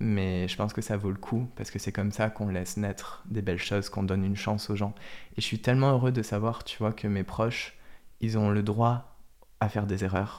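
Speaking at a fairly quick pace, a man keeps a fairly low pitch in a monotone, flat intonation. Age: 20s. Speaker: social media content creator. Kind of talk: casual interview chat.

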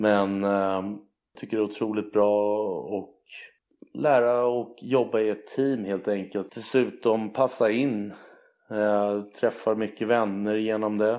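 Over a quiet background, a man with a fairly low pitch and a dark, mellow tone speaks at a very slow pace in a monotone with flat intonation. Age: 20s. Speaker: athlete. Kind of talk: casual chat.

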